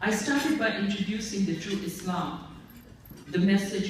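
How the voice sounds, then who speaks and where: Amid noticeable background noise and audible room echo, a woman with an American accent speaks at a medium pitch and fairly slow pace with ordinary pitch variation. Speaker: award honoree, interfaith activist. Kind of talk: award acceptance speech. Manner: formal.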